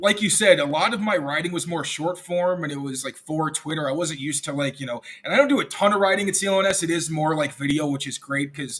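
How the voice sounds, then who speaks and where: Speaking at a fairly quick pace, a man with an American accent uses a high pitch and lively intonation. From US Midwest and New York. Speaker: sports reporter. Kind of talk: casual interview chat. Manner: casual, filler-heavy.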